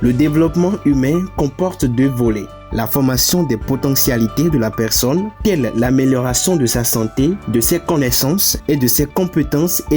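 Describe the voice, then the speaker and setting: A man's fairly slow speech with lively intonation, music in the background. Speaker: voice-over narrator. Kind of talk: corporate narration, organisation presentation. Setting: studio voice-over.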